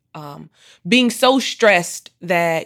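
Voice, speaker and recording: Her voice sits at a medium pitch for a woman and varies in pitch an ordinary amount. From Michigan, US Midwest. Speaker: HR consultancy founder and author. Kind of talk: interview. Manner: loud.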